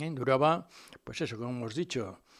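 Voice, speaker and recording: Lively intonation at a moderate pace in an unremarkable speaking voice. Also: man. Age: 60s. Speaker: local history radio host. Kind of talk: informal history talk. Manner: conversational, frequent fillers.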